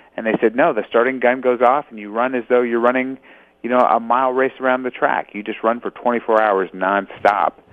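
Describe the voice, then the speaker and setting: An ordinary speaking voice with an American accent, fairly even intonation and a fairly quick pace. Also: man, medium pitch for a man. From Los Angeles, California. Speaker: ultramarathon runner and author. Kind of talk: interview.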